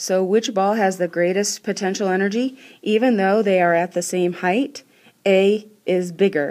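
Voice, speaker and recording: A woman with an unremarkable speaking voice, medium pitch, ordinary pitch variation, and moderate pace. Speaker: school science teacher. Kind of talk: recorded classroom lesson. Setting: screencast recording.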